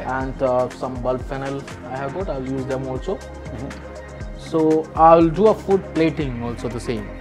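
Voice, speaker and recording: The speaker talks at a fairly slow pace with ordinary pitch variation while clear music plays in the background. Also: man, medium pitch for a man. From Kerala, India. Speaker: chef. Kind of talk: cooking demonstration. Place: kitchen. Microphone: lapel.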